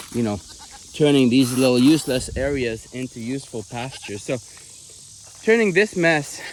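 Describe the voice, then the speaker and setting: A man with a medium pitch and ordinary pitch variation talks at a moderate pace while noticeable background noise carries on. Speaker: homesteader. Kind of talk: casual vlog narration while working outdoors. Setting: outdoors on farm. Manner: halting.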